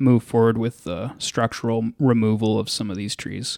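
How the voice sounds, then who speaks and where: Speaking in a normal speaking voice with an American accent, a man uses a medium pitch at a moderate pace, the sound dry and close with no echo on a very clean recording with a silent background. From Texas, Dallas. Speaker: city natural resources specialist. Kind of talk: interview.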